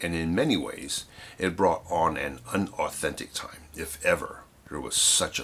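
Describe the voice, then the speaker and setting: A man is heard talking amid noticeable background noise. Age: 60s. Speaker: photographer and darkroom teacher. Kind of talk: reading aloud.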